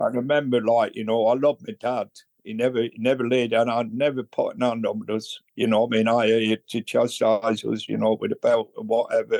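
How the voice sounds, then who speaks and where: A man talks with a northern English accent. He leaves hardly any pauses. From northern England, Bolton near Manchester. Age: 80s+. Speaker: recovering alcoholic. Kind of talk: interview testimony. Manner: halting.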